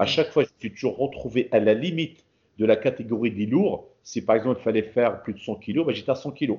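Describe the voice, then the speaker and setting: Very fast and somewhat breathy, a man talks at a medium pitch. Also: ordinary pitch variation. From Paris, France, Moroccan heritage. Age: 40s. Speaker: bodybuilder. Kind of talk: casual interview.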